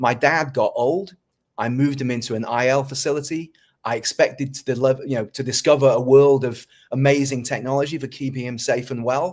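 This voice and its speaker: With a British accent, a man talks at a medium pitch with fairly even intonation. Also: fairly quick pace. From North Wales. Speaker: tech company founder and CEO. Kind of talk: interview.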